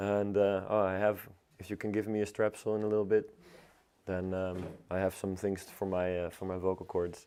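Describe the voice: This man has a low pitch and a dark, mellow tone that is clear and smooth. He talks at a moderate pace in a flat monotone.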